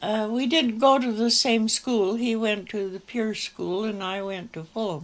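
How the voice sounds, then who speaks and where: A woman with a western Canadian accent, fairly high-pitched, ordinary pitch variation, hardly any pauses, on a very clean recording with a silent background. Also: fairly slow pace. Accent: rural western Canadian. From Canada, rural Alberta. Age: 80s+. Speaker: elderly local museum owner. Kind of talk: interview. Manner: halting.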